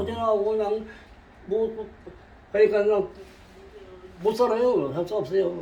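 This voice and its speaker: Long, frequent pauses break up a man's high-pitched speech. His pace is moderate and his pitch variation ordinary. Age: 80s+. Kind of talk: interview answer. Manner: casual, halting.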